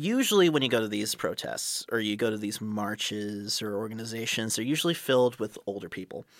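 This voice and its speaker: With an American accent and an unremarkable speaking voice, a man talks at medium pitch, with ordinary pitch variation and hardly any pauses. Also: fairly quick pace. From San Fernando Valley, Los Angeles. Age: 20s. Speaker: radio host. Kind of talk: radio show hosting. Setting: studio.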